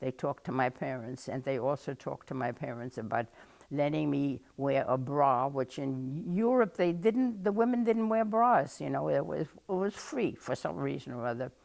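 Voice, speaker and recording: A woman's very deep, low voice with a German accent, very wide pitch swings and a moderate pace. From Germany. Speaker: oral history interviewee. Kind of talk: oral history interview. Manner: halting.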